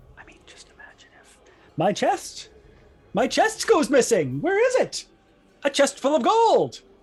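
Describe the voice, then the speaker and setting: This put-on character voice is high-pitched, raised and projected, and moves at a fairly slow pace. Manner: muttered, quiet, near-whisper.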